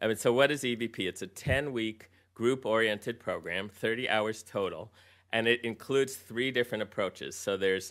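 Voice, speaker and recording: A man talks at a fairly quick pace with a medium pitch and fairly even intonation. The recording is very clean, with a silent background. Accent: American. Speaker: physician, health program leader. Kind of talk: conference presentation. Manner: fast.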